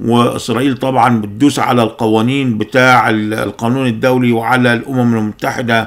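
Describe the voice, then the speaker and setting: A man with an Egyptian accent talks at a moderate pace, with very even loudness and hardly any pauses. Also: quiet background. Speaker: political commentator. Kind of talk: political monologue. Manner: animated. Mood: angry, critical. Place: home room.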